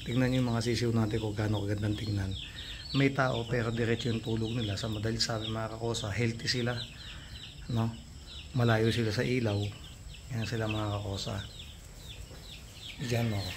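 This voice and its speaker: Fairly quick speech in a monotone, flat intonation, with long, frequent pauses, audible room echo and noticeable background noise. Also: man, medium pitch for a man. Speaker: gamefowl farm vlogger. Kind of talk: casual vlog. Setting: chicken farm, vaccinating chicks at night. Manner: subdued, not loud.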